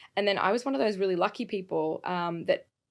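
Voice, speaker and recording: A woman with an Australian accent, vocal fry and fairly low pitch, at a very fast pace. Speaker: creative agency executive. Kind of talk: podcast interview.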